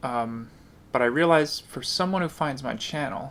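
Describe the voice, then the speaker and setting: A man speaks quietly at a moderate pace. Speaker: guitar teacher. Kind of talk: tutorial. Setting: home kitchen.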